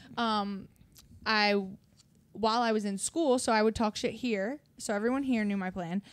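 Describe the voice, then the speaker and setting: A woman with a Philadelphia accent, fairly high in pitch, with ordinary pitch variation, a moderate pace and long, frequent pauses, on a very clean recording with a silent background. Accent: Delco (Philadelphia area). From Delaware County, Pennsylvania (Philadelphia area). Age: 20s. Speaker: hairstylist and clothing brand founder. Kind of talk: casual chat. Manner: animated.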